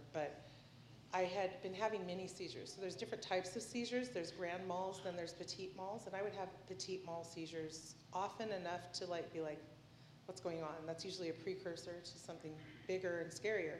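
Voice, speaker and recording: Noticeable background noise sits behind a woman with a medium pitch. She speaks at a fairly quick pace with fairly even intonation. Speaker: testifier with epilepsy. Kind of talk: testimony.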